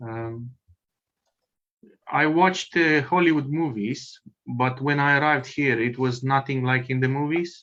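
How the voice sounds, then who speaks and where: A man with a Romanian accent, a bright, sharp tone and a medium pitch, fairly even intonation, a fairly slow pace, and long, frequent pauses. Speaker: meeting participant. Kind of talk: self-introduction. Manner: halting.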